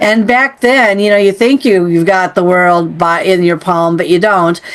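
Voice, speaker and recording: Over noticeable background noise, a woman speaks at a moderate pace with very even loudness and ordinary pitch variation. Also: medium pitch for a woman. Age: 60s. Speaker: podcast host. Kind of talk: interview conversation.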